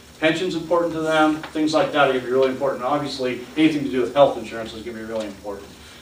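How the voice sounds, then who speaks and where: A man's very fast speech at a fairly high pitch, with hardly any pauses and ordinary pitch variation, amid audible room echo and noticeable background noise. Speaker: city administrator and hiring consultant. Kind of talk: presentation at a public board meeting. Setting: county board meeting room.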